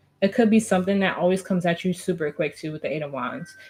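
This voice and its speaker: Somewhat breathy, a woman's voice moves at a fairly quick pace. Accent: American. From New Jersey, US. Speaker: tarot reader. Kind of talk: tarot reading. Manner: fast.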